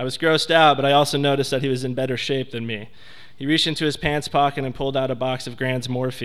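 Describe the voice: Fairly even intonation in plain reading aloud.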